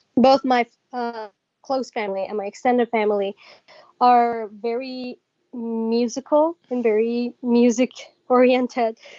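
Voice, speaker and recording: A woman's high-pitched voice in a Persian accent, monotone and flat, at a fairly slow pace with long, frequent pauses and a dry, close sound with no echo. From Iran. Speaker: singer. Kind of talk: interview.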